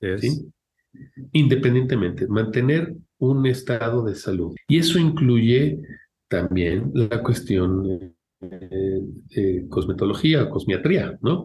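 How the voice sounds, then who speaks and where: A man speaks very slowly at a medium pitch, his tone dark and mellow. His voice is somewhat breathy, with very wide pitch swings. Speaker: medical geneticist. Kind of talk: interview.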